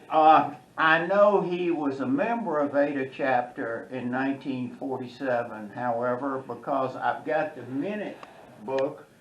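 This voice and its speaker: Noticeable background noise sits behind a man with a fairly high pitch. His intonation is lively and his pace fairly slow. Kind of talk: interview questions.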